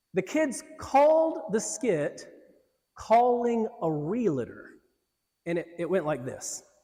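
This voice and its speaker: A man with an American accent, a high pitch, very wide pitch swings and a very slow pace. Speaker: pastor and director of urban ministry. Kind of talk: sermon.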